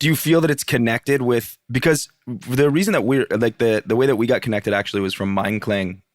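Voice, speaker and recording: A man with an American accent speaks at a fairly quick pace and a medium pitch, with ordinary pitch variation, hardly any pauses, and a dry, close sound with no echo. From US Northeast, northern Vermont. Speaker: podcast host, cook. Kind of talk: interview conversation.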